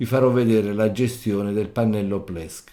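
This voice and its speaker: A man talks at a moderate pace in a fairly low pitch. His tone is dark and mellow, with ordinary pitch variation. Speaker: tech tutorial creator. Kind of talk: tutorial. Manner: halting.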